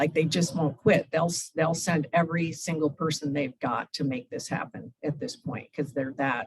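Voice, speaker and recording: This woman's voice is very deep and low in pitch and somewhat breathy. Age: 60s. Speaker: humanitarian aid volunteer. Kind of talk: Q&A after a club talk. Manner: conversational, with fillers.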